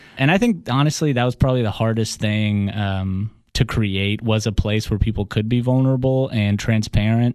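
A medium-pitched man speaks at a moderate pace with hardly any pauses over a quiet background. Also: fairly even intonation. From Russia, then Atlanta US. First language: Russian. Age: 30s. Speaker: business executive and podcast host.

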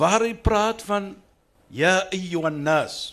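This man's voice sits high in pitch. He talks with lively intonation. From Cape Town, South Africa. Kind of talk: panel discussion.

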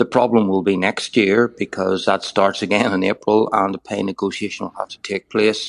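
In a dry, close recording with no echo, a man speaks with an ordinary speaking voice at a fairly low pitch. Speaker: former health service chief executive, commentator. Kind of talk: radio interview, analysis.

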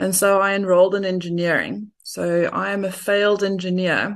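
This woman's fairly low voice has a monotone, flat intonation. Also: quiet background. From South Africa. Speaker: portfolio manager. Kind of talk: interview.

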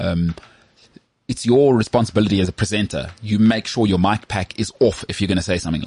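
A man with a fairly low, somewhat breathy voice talks very fast with ordinary pitch variation. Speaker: sports podcast host. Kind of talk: casual chat. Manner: animated.

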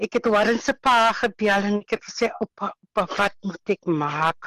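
In an unremarkable speaking voice, a woman speaks at a fairly high pitch, the sound dry and close with no echo. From Western Cape, South Africa. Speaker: housewife sharing COVID recovery testimony. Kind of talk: testimony.

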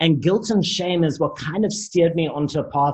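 A man speaks at a moderate pace in a somewhat breathy voice with ordinary pitch variation. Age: 30s. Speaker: life coach, recovering addict. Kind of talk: interview, personal testimony.

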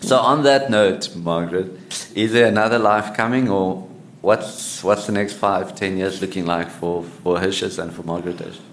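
A man's voice with ordinary pitch variation, set against noticeable background noise. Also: fairly low pitch for a man, moderate pace. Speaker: podcast host. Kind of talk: interview.

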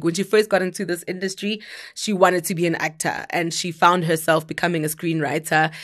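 The speaker has a South African accent and talks at a moderate pace. The background is quiet. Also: woman. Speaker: entertainment podcast co-host. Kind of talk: casual entertainment news chat.

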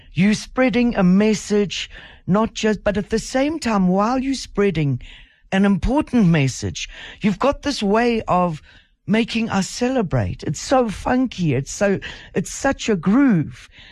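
A woman with a South African accent, medium pitch and very wide pitch swings, fairly slow pace, very even loudness, quiet background. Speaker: radio host. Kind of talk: radio interview. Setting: radio studio.

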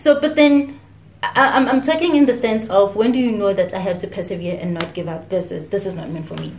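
A woman speaks at medium pitch with very wide pitch swings and big swings in loudness. Noticeable background noise runs underneath. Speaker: podcast host. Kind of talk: interview.

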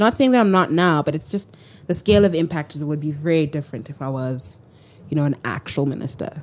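A woman with a very deep, low pitch talks at a fairly quick pace. Her intonation is lively and her tone animated. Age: 20s. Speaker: social entrepreneur. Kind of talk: casual interview.

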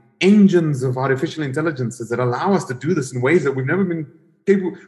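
A somewhat breathy man's voice, fairly high in pitch, with lively intonation. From South Africa. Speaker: tech investor and former executive. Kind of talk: interview. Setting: video call from home gym. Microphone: wired connection.

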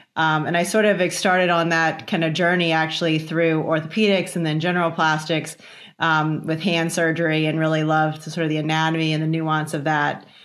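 In a room with audible echo, a woman speaks at a fairly quick pace in a very deep, low pitch with monotone, flat intonation. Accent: American. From Virginia, US. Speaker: facial plastic surgeon and professor. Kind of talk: interview conversation.

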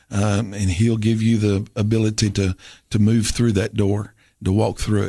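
A man with a Southern US accent talks at a moderate pace in a fairly low pitch, with a dark, mellow tone and monotone, flat intonation. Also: quiet background. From Tennessee. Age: 50s. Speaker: pastor. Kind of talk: interview testimony. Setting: studio.

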